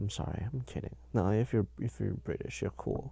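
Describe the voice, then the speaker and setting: A man speaks at a moderate pace. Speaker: podcast host. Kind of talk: casual solo chat. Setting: in bed under a blanket, home sound booth. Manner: halting, many fillers.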